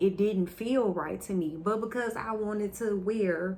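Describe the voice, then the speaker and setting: A woman with a normal speaking voice talks fairly slowly at a medium pitch with ordinary pitch variation. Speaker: testimony vlogger. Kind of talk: testimony.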